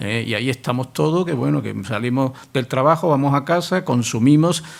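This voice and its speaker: In a plain, everyday voice, a man talks at a fairly quick pace and a medium pitch with ordinary pitch variation. The recording is very clean, with a silent background. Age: middle-aged. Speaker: university professor, literary specialist. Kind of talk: public talk Q&A answer.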